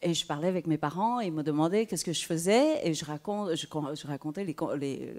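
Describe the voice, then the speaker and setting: A woman with a Vietnamese accent speaks at a very deep, low pitch and a moderate pace, with ordinary pitch variation. The recording is very clean, with a silent background. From southern Vietnam (Saigon), then Quebec from age 10. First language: Vietnamese (speaking French). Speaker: writer. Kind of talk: panel discussion. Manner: halting, many hesitations.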